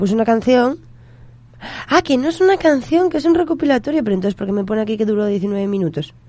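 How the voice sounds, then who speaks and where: A dark, mellow tone at a very fast pace, with very wide pitch swings. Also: woman, fairly high pitch for a woman. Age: 20s. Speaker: community radio host. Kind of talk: casual banter on radio.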